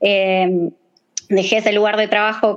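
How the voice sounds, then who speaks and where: In an Argentine accent, a woman speaks with a fairly high pitch. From Argentina. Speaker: bioinformatics researcher. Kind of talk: casual chat.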